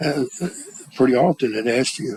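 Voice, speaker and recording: A man with an Arkansas accent, lively intonation and a moderate pace, amid noticeable background noise. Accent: Southern US, Arkansas. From US South, Arkansas. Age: 70s. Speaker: interviewee grandfather. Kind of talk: oral history interview. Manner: halting.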